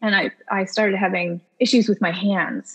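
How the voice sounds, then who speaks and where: Vocal fry runs through this voice, which has an American accent. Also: woman. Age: 30s. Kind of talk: interview, casual chat.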